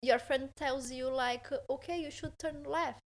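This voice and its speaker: Speaking at a fairly slow pace, a woman with a Portuguese accent uses a high pitch and ordinary pitch variation. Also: very clean recording, silent background. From southern Brazil, Porto Alegre. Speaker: holistic therapist and engineer. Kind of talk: casual interview. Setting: in a home, on a couch. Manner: halting, many fillers.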